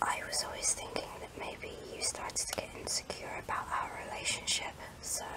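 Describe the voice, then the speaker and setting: Every word is whispered. The delivery moves at a moderate pace. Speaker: ASMR creator. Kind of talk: ASMR whispered talk to camera. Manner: soft, whispered, emotional. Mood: wistful, emotional. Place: home room. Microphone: phone near.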